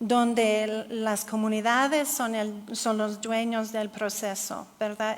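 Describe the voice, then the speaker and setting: In a room with audible echo, a woman with a non-native accent speaks very slowly in a fairly high pitch. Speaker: geographer, researcher. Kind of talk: conference Q&A answer. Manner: halting.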